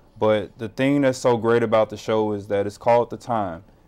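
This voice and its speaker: With an American accent, a man talks at a fairly quick pace and a fairly low pitch, showing ordinary pitch variation. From Chicago. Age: 30s. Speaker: community organization volunteer and radio host; radio host. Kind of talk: interview. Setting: studio. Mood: calm, earnest. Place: studio.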